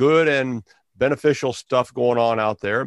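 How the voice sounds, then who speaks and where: A man in a normal speaking voice talks at medium pitch with ordinary variation, the sound dry and close with no echo over a quiet background. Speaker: pastor and education activist. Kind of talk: interview.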